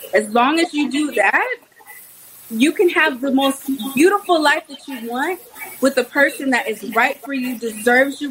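A high-pitched woman speaks at a moderate pace with lively intonation and big swings in loudness. Noticeable background noise is present. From Texas, Houston. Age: 30s. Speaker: conservative activist. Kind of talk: casual chat.

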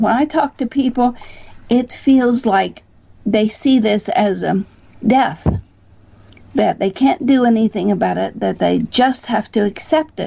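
A woman's fairly high, somewhat breathy voice, dark and mellow in tone, with ordinary pitch variation and a fairly slow pace. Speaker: bioacoustics researcher. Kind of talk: interview.

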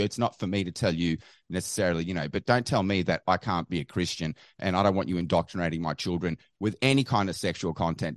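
Against a quiet background, a man talks at a very fast pace with an Australian accent, in a dry, close sound with no echo. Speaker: caller, activist. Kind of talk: call-in chat.

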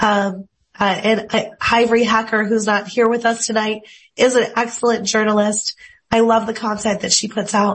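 A woman speaks at a moderate pace in a somewhat breathy voice. Her intonation stays flat and monotone. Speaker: former TV meteorologist. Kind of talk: panel interview. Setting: video call.

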